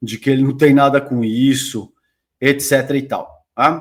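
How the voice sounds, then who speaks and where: The recording is very clean, its background silent. A man talks at a fairly slow pace. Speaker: political commentator. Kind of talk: reaction commentary. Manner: animated.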